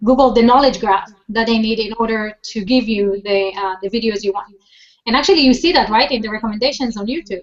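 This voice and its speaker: Fairly quick delivery in a non-native accent, with fairly even intonation. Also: woman. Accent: foreign. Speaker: social media marketing expert. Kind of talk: interview. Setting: video call. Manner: fast.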